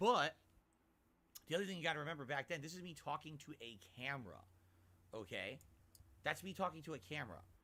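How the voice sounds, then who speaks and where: A man's fairly high, bright, sharp voice with vocal fry, very fast yet full of long, frequent pauses, with lively intonation and big swings in loudness. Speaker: gaming YouTuber. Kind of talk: casual reaction stream.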